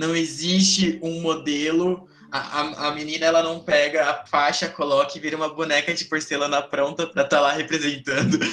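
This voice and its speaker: Over noticeable background noise, a man talks at a moderate pace with hardly any pauses. His voice is fairly high and flat, monotone in intonation. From São Paulo, Brazil. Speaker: youth gaucho tradition representative and podcast host. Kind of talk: casual panel discussion.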